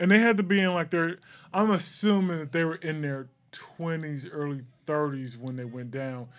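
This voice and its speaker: A normal speaking voice from a man with fairly high pitch, ordinary pitch variation, and a moderate pace over a quiet background. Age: 40s. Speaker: podcast co-host. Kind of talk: casual chat.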